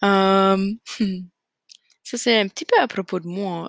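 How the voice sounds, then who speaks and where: With monotone, flat intonation, a woman speaks at a fairly slow pace on a very clean recording with a silent background. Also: dry, close sound with no echo. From Acadian New Brunswick, Canada (Fredericton). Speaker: podcast host, graduate student. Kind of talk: casual solo monologue. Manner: hesitant, many fillers.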